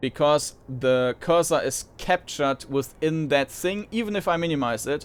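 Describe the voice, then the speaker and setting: A man talks at a moderate pace in a fairly high voice. His pitch moves in an ordinary way. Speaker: gaming video host. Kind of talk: let's play commentary. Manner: loud; halting, many fillers.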